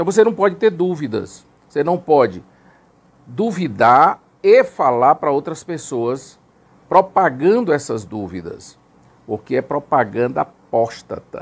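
Vocal fry and very wide pitch swings mark this speech, delivered at a fairly slow pace. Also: man, fairly high pitch for a man. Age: 50s. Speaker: former Jehovah's Witness elder; Witness. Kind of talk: testimony. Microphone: lapel.

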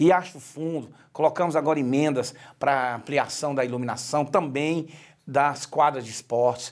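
A man speaks at a moderate pace with an ordinary speaking voice and a fairly high pitch. The background is quiet. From Brazil, Ceará (Ipu), raised in Brasília area; Ceará, Brazil. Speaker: politician, retired military police officer; politician. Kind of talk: interview. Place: studio. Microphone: lapel.

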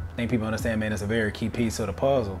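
Faint music sits behind the voice. The speaker is a man. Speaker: weightlifting coach. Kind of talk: interview answer. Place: home room. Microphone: lapel.

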